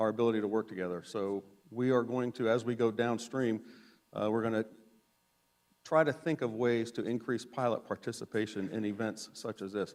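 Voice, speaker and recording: A man's medium-pitched voice holds fairly even intonation and a moderate speed. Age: 60s. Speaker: safety instructor, former helicopter pilot. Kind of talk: conference presentation. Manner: halting.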